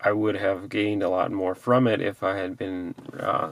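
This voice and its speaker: A man's ordinary speaking voice, fairly low in pitch, with fairly even intonation at a moderate pace and a dry sound with no echo. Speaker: fitness vlogger. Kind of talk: casual vlog chat. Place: car. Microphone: phone near.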